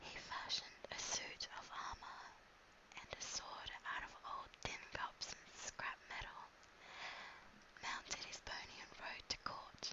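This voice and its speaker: Someone whispers in an Australian accent at a very slow pace. Noticeable background noise sits behind the voice. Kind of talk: whisper reading of a children's book for ASMR. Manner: whispered, soft, relaxing.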